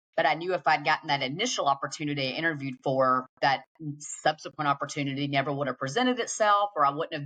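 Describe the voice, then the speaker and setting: A very fast pace in a Southern US accent, with hardly any pauses. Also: woman. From Georgia, US South. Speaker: tech sales executive. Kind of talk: interview.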